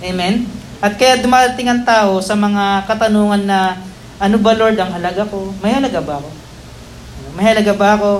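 Fairly quick speech broken by long, frequent pauses, with noticeable background noise. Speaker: pastor. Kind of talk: sermon. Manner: animated.

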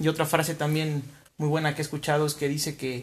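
The speaker is a man. His voice is pitched fairly high. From Mexico, Huamantla, Tlaxcala. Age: 30s. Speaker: entrepreneur, restaurant owner. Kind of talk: interview.

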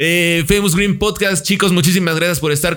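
With music playing behind him, a man talks very fast in fairly even intonation. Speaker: podcast host. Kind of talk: casual chat.

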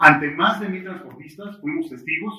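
The man's voice is high-pitched and moves at a fairly quick pace. His pitch varies normally, with audible room echo around him. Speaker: podcast host. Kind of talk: interview. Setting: studio.

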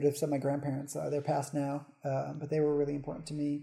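At a very fast pace, a man with a fairly high pitch speaks in a dark, mellow, somewhat breathy tone. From New England. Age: 30s. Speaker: model and content creator. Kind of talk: casual interview. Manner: hesitant with many fillers.

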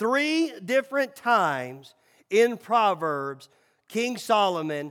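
This is a man talking. He speaks with a Southern US accent. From Tennessee, Nashville. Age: 40s. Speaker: pastor. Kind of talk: sermon.

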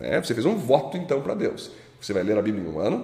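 The man's pitch rises and falls very widely, and audible room echo hangs around his voice. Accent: Brazilian. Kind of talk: Bible study teaching. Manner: informal, colloquial.

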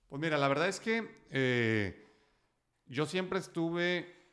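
The man's pitch swings very widely as he talks. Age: 30s. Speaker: entrepreneur and sales speaker. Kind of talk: interview.

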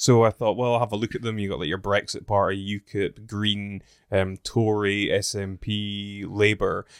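On a very clean recording with a silent background and a dry, close sound with no echo, a man speaks in a Scottish accent at a moderate pace, fairly low and monotone, with hardly any pauses. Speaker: podcast host. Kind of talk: casual chat. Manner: laughs a lot.

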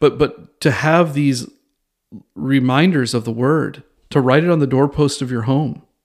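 A man with a plain, everyday voice speaks at a fairly slow pace and fairly high pitch with ordinary pitch variation, on a very clean recording with a silent background. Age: 40s. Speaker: podcast host teaching theology. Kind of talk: solo teaching podcast on Bible study. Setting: recording alone in a bathroom at a bistro table. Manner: casual with frequent fillers and restarts.

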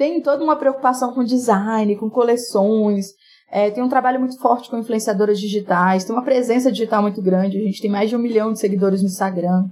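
A woman with an ordinary speaking voice and fairly high pitch talks at a fairly quick pace. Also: ordinary pitch variation. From Brazil, rural Minas Gerais (Jequitinhonha Valley). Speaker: entrepreneur and business mentor. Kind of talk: casual interview.

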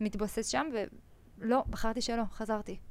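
On a very clean recording with a silent background, a woman with an ordinary speaking voice talks at a fairly high pitch with fairly even intonation. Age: 20s. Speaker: entrepreneur, energy company CEO. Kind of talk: casual interview.

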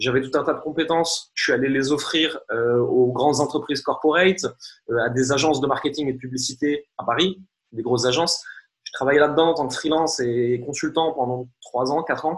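This man has a fairly high pitch and a somewhat breathy voice, talking at a fairly quick pace with fairly even intonation. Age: 30s. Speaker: marketing coach and entrepreneur. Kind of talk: interview.

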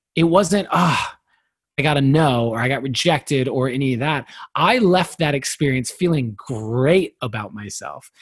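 A man's fairly high, somewhat breathy voice with lively intonation at a fairly slow pace. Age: 30s. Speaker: poet and personal development speaker. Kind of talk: casual chat.

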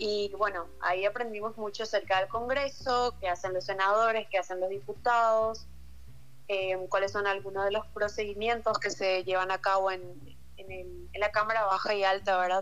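A woman's plain, everyday voice at a moderate pace, medium in pitch, with fairly even intonation. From Paraguay, Luque. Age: 18. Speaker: university applicant sharing experience. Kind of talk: casual chat.

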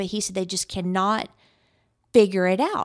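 Against a silent background in a very clean recording, a woman with a normal speaking voice talks at a medium pitch and moderate pace with ordinary pitch variation. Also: dry, close sound with no echo. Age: 50s. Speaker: podcast host and business coach. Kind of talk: solo podcast monologue.

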